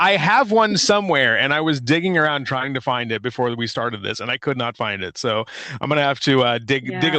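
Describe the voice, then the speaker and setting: The pace is fairly quick and the intonation lively. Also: man, medium pitch for a man. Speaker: podcast host, did the intro.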